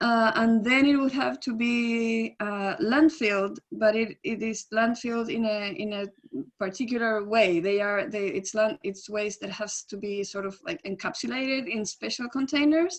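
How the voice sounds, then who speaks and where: With a Spanish accent, a woman speaks at a moderate pace in a fairly high voice, hardly pausing at all. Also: ordinary pitch variation. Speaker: environmental advocate. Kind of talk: webinar Q&A answer. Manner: halting, many fillers and restarts.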